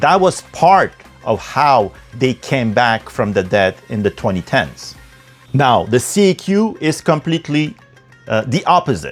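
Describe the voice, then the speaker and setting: With music in the background, a man talks at a fairly slow pace and medium pitch. His pitch swings very widely. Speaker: political commentator. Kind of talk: podcast political commentary.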